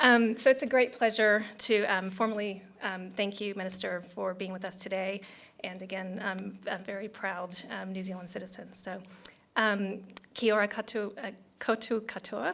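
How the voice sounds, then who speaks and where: In an American accent, a woman with a plain, everyday voice and medium pitch talks at a moderate pace, her intonation fairly even and her loudness swinging widely. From United States. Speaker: tech company country director. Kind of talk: business event speech.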